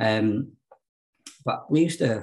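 This voice has a South Yorkshire accent and is somewhat breathy. The background is quiet. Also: man. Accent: South Yorkshire (Barnsley). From London and South Yorkshire (Hackney, then Barnsley). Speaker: recovering addict sharing his story. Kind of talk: personal testimony in an interview.

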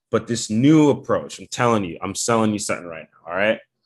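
This man has an ordinary speaking voice with an American accent, medium pitch and ordinary pitch variation. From Bridgeport, Connecticut. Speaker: rapper and producer. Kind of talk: casual chat.

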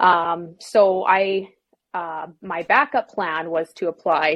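In a Canadian accent, a woman uses a normal speaking voice with fairly low pitch and ordinary pitch variation. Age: 20s. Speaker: fitness business founder. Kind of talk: interview.

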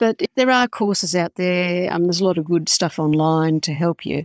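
Over a silent background on a very clean recording, a woman speaks with an Australian accent at a moderate pace. Her pitch is fairly low, and the sound is dry and close with no echo. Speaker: indie author. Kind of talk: interview. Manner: halting.

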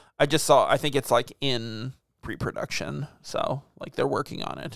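A man with fairly even intonation keeps a moderate pace in an unremarkable speaking voice. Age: 30s. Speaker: podcast host. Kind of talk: casual chat.

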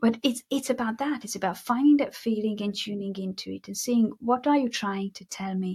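A woman's fairly high, somewhat breathy voice at a moderate pace, with ordinary pitch variation, hardly any pauses, and a dry, close sound with no echo. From Hungary. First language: Hungarian. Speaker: mindset coach and hypnotherapist. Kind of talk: interview conversation. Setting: video call.

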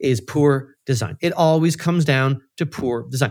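A man with a fairly high pitch speaks in an ordinary speaking voice at a moderate pace with lively intonation. The recording is very clean, with a silent background. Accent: Canadian. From Central Canada (Manitoba). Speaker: financial modeling expert and educator. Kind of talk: interview.

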